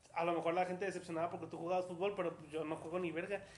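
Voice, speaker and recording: A man speaks at a high pitch. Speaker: podcast host. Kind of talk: casual interview.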